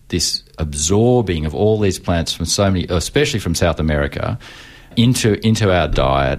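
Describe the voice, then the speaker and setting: Lively intonation marks this man's very deep, low voice, which carries an Australian accent at a moderate pace. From Melbourne, Australia. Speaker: urban agriculture researcher and lecturer. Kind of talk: radio interview. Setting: radio studio.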